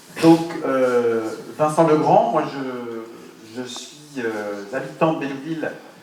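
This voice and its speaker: There is noticeable background noise and audible room echo. Through it, a man speaks at a medium pitch with ordinary pitch variation. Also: big swings in loudness. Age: 30s. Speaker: local election candidate, teacher. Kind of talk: campaign meeting self-introduction. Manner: halting, many hesitations.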